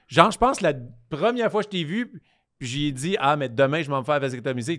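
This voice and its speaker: A man with a Quebec accent and a fairly high pitch speaks with lively intonation over a quiet background. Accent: Québécois French. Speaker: comedian and podcast co-host; comedian, podcast co-host. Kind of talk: casual chat. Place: studio. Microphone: studio mic.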